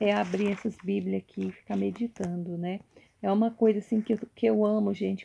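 A woman speaks at a moderate pace with ordinary pitch variation. Her voice is somewhat breathy, with a dark, mellow tone. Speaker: YouTuber. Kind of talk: casual show-and-tell vlog. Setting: at home at night. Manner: halting, repetitive. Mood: warm, devotional. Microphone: phone near.

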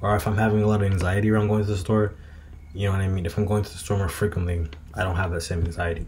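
Over light background noise, a man with a fairly low pitch talks at a very fast pace with fairly even intonation. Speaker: vlogger. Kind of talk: casual vlog chat. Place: home room. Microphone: webcam.

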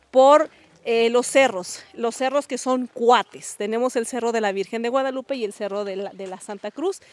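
A woman speaks at a moderate pace with a high pitch and ordinary pitch variation. The sound is dry, with no echo. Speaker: local guide telling family history. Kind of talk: interview answer. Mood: warm, nostalgic. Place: open country. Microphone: handheld.

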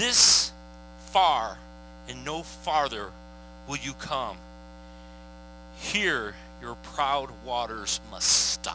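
Delivered at a very slow pace with long, frequent pauses, the speech swings widely in loudness over light background noise, with a dry sound and no echo. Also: man, fairly low pitch for a man. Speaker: pastor. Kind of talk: sermon scripture reading. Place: stage. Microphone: headset.

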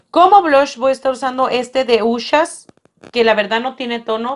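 A woman's speech moves at a moderate pace, and her pitch varies in an ordinary way. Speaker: beauty vlogger. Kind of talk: product review vlog. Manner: casual.

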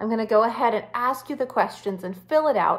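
Her pitch is high, and the woman's intonation is lively. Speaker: wellness coach. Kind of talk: tutorial. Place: home room. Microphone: phone near.

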